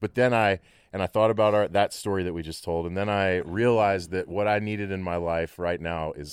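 In a Texan accent, a man with a very deep, low pitch talks at a fairly quick pace with fairly even intonation. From Texas, Abilene. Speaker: musician and recording engineer. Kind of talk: casual chat.

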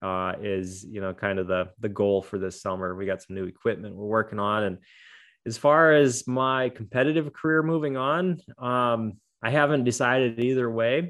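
A man with a plain, everyday voice and medium pitch talks at a moderate pace with lively intonation over a quiet background. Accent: American. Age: 40s. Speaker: adaptive athlete. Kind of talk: interview conversation.

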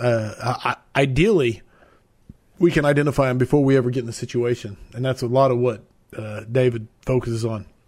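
An unremarkable speaking voice from a man, with a medium pitch for a man, fairly even intonation and a fairly quick pace. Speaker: podcast host. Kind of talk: casual interview chat. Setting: live video stream.

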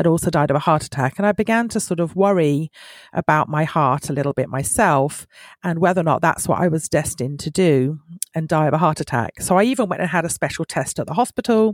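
In a British accent, a woman with a fairly low pitch speaks at a fairly quick pace, recorded in a dry, close sound without echo. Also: very clean recording, silent background. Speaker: podcast guest sharing a family discovery story. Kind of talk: personal testimony.

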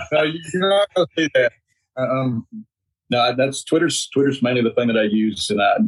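A man with a medium pitch speaks in a Mississippi accent. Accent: Mississippi Southern US. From US South, Mississippi. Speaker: agricultural association director. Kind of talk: casual chat.

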